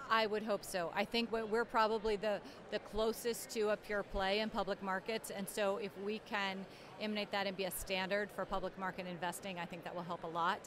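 Fairly quick, flat, monotone delivery in a dry, echo-free sound with noticeable background noise. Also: woman. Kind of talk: interview answer. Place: hall. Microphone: handheld.

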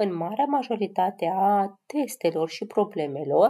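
A woman speaks at a medium pitch with lively intonation. Her tone is dark and mellow, with a slightly husky edge.

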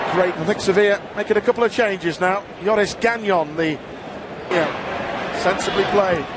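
A man speaks at a high pitch in an animated tone. Crowd noise fills the background. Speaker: football commentator. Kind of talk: live football commentary. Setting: stadium commentary, match broadcast. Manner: animated, fast, rising excitement at chances.

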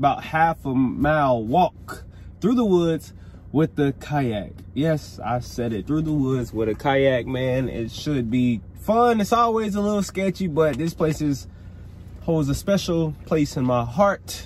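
Over light background noise, a man speaks fairly slowly and somewhat breathily, his pitch swinging very widely, in a dry sound with no echo. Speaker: fishing vlogger. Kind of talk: casual vlog chat. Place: car. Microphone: phone near.

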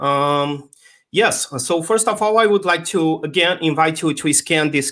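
Speaking in a Portuguese accent at a moderate pace, the man has a fairly high pitch. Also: quiet background. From Brazil. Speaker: tech conference speaker; conference speaker. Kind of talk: conference talk. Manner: hesitant, many fillers. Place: home room.

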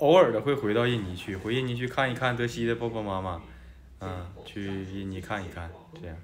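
A man talks at a fairly low pitch. The room echo is audible. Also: big swings in loudness. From China. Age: 20s. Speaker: host's husband, student. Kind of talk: casual Q&A chat.

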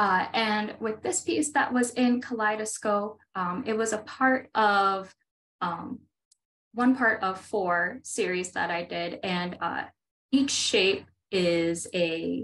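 Speaking at a very slow pace, a woman leaves long, frequent pauses. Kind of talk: interview answer. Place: home room. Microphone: earbuds.

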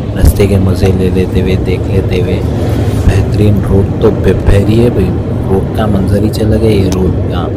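Loud background noise fills the recording. A man speaks at a fairly slow pace. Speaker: travel vlogger. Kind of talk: casual vlog chat. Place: car. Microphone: phone near.

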